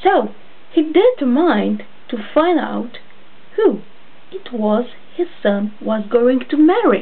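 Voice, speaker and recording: A woman with a high pitch talks at a very slow pace, her pitch swinging very widely. Audible room echo and noticeable background noise fill the recording. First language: not English. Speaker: storyteller. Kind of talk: reading aloud.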